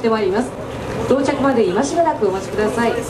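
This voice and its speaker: Noticeable background noise accompanies the woman's voice. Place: station.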